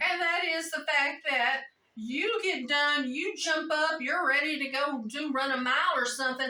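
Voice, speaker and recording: A woman speaks in a raised, projected voice at a high pitch, with ordinary pitch variation and a moderate pace. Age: 60s. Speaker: jiu-jitsu practitioner. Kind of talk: interview answer.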